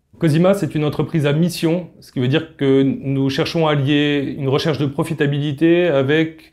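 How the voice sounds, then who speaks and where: Against a quiet background, a man speaks with fairly high pitch, fairly even intonation and a fairly quick pace. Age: 30s. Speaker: company co-founder. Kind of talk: recruitment video pitch. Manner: hesitant with filler sounds. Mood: calm, earnest. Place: office.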